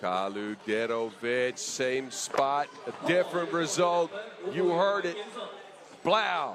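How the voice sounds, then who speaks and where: With noticeable background noise behind him, a man speaks at a very slow pace in a fairly high pitch, his voice making very wide pitch swings. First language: not English. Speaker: 3x3 basketball commentator. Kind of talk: live commentary. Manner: animated.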